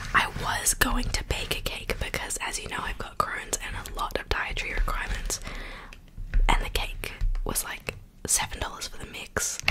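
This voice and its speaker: Soft-spoken and whispering, a woman talks at a moderate pace with big swings in loudness against noticeable background noise. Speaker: mukbang video creator. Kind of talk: casual vlog chat. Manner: soft ASMR whisper close to mic. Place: home room. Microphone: studio mic.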